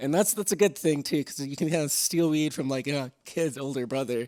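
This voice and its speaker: On a very clean recording with a silent background, a man with a fairly high pitch talks at a moderate pace with ordinary pitch variation. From Alberta, Canada (small town near Slave Lake). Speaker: podcast host. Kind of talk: casual storytelling monologue. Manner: hesitant, many fillers.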